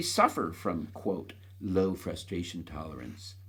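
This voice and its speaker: A man speaks with audible room echo. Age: 70s. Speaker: author reading his own book. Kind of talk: reading aloud. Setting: recording himself on an iPad.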